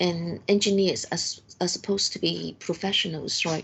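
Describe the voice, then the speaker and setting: Speaking in a Cantonese accent, a woman keeps a fairly low pitch. Her intonation stays fairly even at a moderate pace. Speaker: university lecturer. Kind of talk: lecture. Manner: halting.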